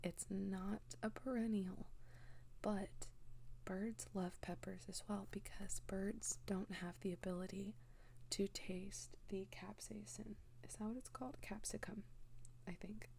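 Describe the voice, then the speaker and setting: The speaker is soft-spoken. The pace is very slow. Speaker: home gardener. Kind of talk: soft-spoken ASMR talk. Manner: lighthearted.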